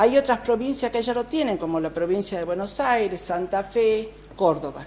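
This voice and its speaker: In a dark, mellow tone at medium pitch, a woman speaks at a moderate pace with lively intonation. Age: 60s. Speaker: provincial legislator. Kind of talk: TV interview.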